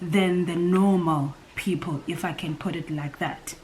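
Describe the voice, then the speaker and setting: A woman's words come fairly slowly while noticeable background noise sits behind them. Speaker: former call center worker. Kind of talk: casual talk to camera.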